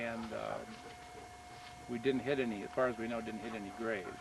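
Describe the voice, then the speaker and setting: Noticeable background noise sits under the voice. The man talks in an American accent. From eastern Nebraska, Missouri Valley. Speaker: retired engineer and local farmer. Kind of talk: oral history interview. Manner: hesitant, many fillers.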